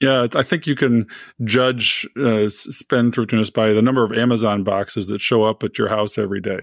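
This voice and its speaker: Sounding dry and close with no echo, a man talks at a fairly quick pace in a plain, everyday voice of medium pitch. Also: fairly even intonation. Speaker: podcast co-host and physician. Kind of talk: interview conversation.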